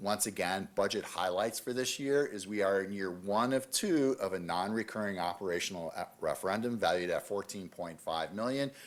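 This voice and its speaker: A man's fairly low voice at a moderate pace, with ordinary pitch variation and hardly any pauses. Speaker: school district finance administrator. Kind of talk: budget presentation at a committee meeting. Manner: hesitant, many fillers.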